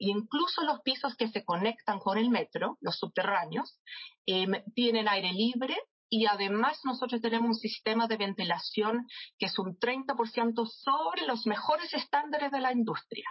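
A woman has a normal speaking voice with a fairly high pitch and lively intonation. She keeps a moderate pace and very even loudness. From England, London. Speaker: marketing director. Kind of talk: interview.

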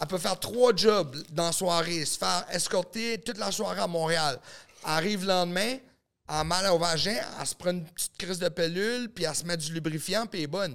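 Fairly quick delivery with ordinary pitch variation, in a very clean recording with a silent background. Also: man, high pitch for a man. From New Brunswick, Canada (small village). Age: 30s. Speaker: adult film producer and actor. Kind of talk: casual podcast chat.

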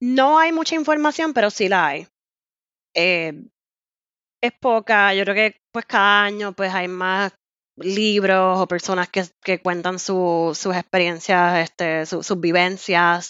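A woman speaks at a very slow pace with a medium pitch. Her intonation is lively. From Puerto Rico. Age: 30s. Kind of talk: casual interview.

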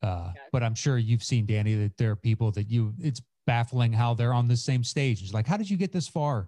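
Somewhat breathy, with a dark, mellow tone, a man talks at a fairly quick pace with hardly any pauses and ordinary pitch variation, in a dry, close sound with no echo. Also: medium pitch for a man. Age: 40s. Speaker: comedian and podcaster. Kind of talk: casual chat. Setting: video call.

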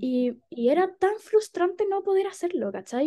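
A woman with a Chilean accent speaks at a very slow pace in a dark, mellow tone. Her pitch swings very widely. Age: 20s. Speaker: psychologist and feminist activist. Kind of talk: casual chat.

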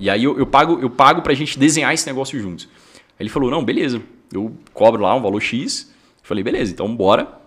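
A man at a very fast pace, medium pitch and lively intonation. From northern Minas Gerais, Brazil (near Bahia). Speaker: entrepreneur, fitness franchise founder. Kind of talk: casual interview chat.

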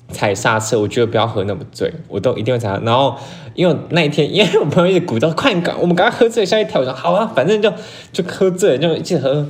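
Very fast speech from a man at a fairly high pitch, with very wide pitch swings and noticeable background noise. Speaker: podcast co-host. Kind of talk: casual chat. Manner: animated.

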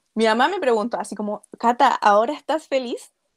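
A woman speaks in a plain, everyday voice. Her pace is moderate and her pitch variation ordinary. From Chile. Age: 20s. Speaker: author and illustrator. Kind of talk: interview.

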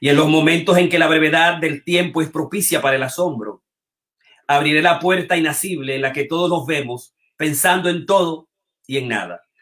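A man with an ordinary speaking voice talks at a moderate pace, his fairly high pitch carried by fairly even intonation. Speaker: show host and metapoet. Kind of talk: live online show hosting, with poetry reading. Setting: online video stream.

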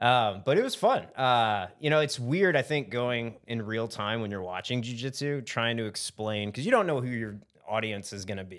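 The man has an American accent and a medium pitch with ordinary pitch variation. He speaks at a moderate pace with hardly any pauses, on a very clean recording with a silent background. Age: 30s. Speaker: jiu-jitsu brown belt and lawyer. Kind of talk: casual chat. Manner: animated.

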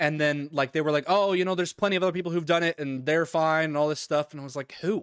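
A man talks very fast at a fairly high pitch with fairly even intonation. The sound is dry and close, with no echo. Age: 20s. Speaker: podcast co-host and streamer. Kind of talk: casual chat; reading notes aloud. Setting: online call over Discord.

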